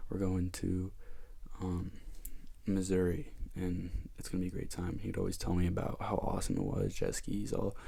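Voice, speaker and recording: A soft-spoken man talks at a moderate pace in a very deep, low voice with a dark, mellow tone. His intonation is monotone and flat, and audible room echo surrounds him. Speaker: ASMR youtuber. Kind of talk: casual ramble.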